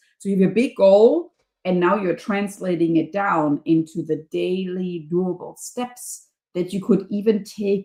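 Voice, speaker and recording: A woman speaks with a German accent. Her pace is fairly slow. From Germany. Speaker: professor and leadership coach. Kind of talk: podcast interview.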